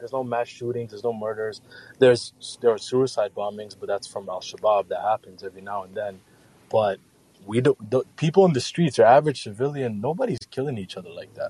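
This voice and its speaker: A man's somewhat breathy, dark, mellow voice at a medium pitch with ordinary pitch variation, fairly quick, with big swings in loudness and a dry, close sound with no echo. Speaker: caller. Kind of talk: casual chat.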